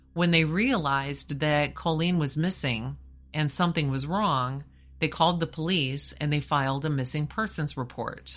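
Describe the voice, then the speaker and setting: The voice has a serious tone and ordinary pitch variation at a moderate pace. Music plays in the background. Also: woman, very deep, low pitch for a woman. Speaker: podcast host. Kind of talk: true-crime narration. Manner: grave, measured storytelling delivery; serious, matter-of-fact tone.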